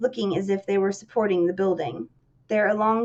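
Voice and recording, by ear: The intonation holds fairly even. Someone is reading aloud in a natural voice.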